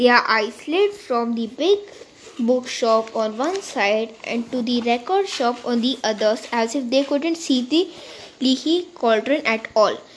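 A woman speaks at a fairly slow pace with a high pitch. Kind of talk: literary audiobook reading, narrated story with character voices for Harry and Hagrid. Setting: recorded audiobook.

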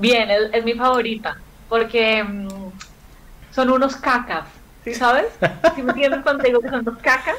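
The speaker talks at a moderate pace with fairly even intonation, stopping often for long pauses. Noticeable background noise runs under the speech. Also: woman, high pitch for a woman. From Colombia. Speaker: comedian. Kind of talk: casual chat.

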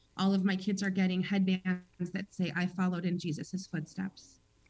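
A woman speaks at a moderate pace and medium pitch, her voice somewhat breathy. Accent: American. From Chicago. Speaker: kindergarten teacher. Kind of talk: radio interview.

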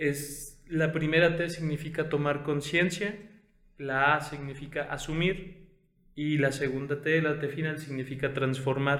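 Audible room echo surrounds a man who talks at a fairly slow pace in a fairly high pitch with monotone, flat intonation. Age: 20s. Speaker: podcast host and consultant. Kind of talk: casual chat.

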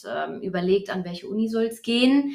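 In a plain, everyday voice, a woman speaks at a moderate pace with a fairly high pitch and ordinary pitch variation. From Germany, Hesse (Taunus). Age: 30s. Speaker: fitness economist and back therapist. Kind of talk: interview.

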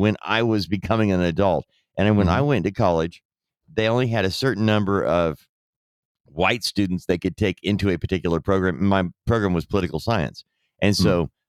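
A man with an American accent and a normal speaking voice talks at a fairly quick pace and a fairly low pitch, in a very clean recording with a silent background and a dry, close sound with no echo. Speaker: podcast host. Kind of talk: casual political commentary chat.

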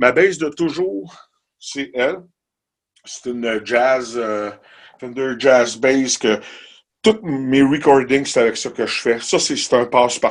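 A man at medium pitch speaks at a very slow pace with ordinary pitch variation. He leaves long, frequent pauses against a quiet background. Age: 50s. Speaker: musician. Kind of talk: casual chat. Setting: home studio.

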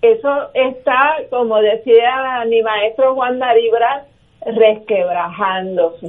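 A woman speaks very slowly in a fairly high voice with ordinary pitch variation, over noticeable background noise. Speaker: political panelist. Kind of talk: political panel discussion. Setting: phone call.

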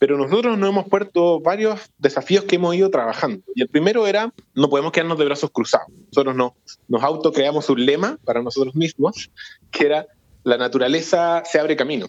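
A normal speaking voice with lively intonation and very even loudness, in a dry, close sound with no echo. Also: man, fairly high pitch for a man, fairly quick pace. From Santiago, Chile. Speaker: foundation executive director. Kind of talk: interview.

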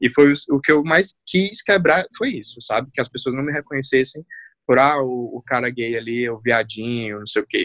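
At a moderate pace and medium pitch, a man with a plain, everyday voice speaks with ordinary pitch variation in a dry, close sound with no echo. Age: 20s. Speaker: university lecturer in marketing and communication. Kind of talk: casual chat.

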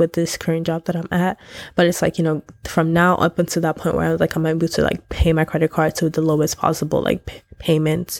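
Someone talks in an animated tone at a very fast pace, recorded very cleanly against a silent background. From Nigeria. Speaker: podcast host. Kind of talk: casual monologue.

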